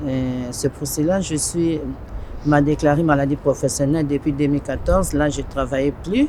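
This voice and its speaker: A woman speaks at a moderate pace with a very deep, low pitch for a woman and fairly even intonation. Noticeable background noise runs behind her. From Congo. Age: 60s. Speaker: refugee interviewee. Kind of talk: testimony. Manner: halting.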